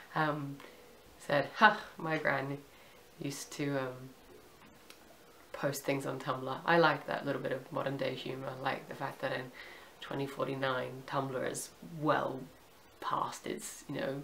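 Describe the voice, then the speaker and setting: Over noticeable background noise, a woman with a very deep, low pitch talks at a fairly slow pace in a monotone, flat intonation, with long, frequent pauses. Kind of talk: casual review to camera. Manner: hesitant, casual.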